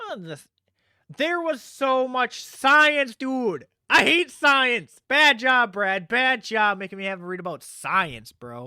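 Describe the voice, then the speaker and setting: Very slowly, a man projects an extremely high, bright and sharp voice with lively intonation. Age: 20s. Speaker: podcast host. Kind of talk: casual chat.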